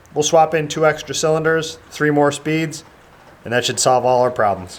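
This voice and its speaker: Amid noticeable background noise, a man with a fairly high pitch speaks at a moderate pace with ordinary pitch variation. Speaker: car builder, channel owner. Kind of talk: video build log narration.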